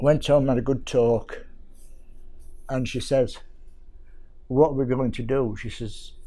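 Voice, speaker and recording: In a room with audible echo, a man talks at a moderate pace. His voice sits at a medium pitch, dark and mellow in tone, with ordinary pitch variation. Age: 70s. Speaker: carer. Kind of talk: testimony.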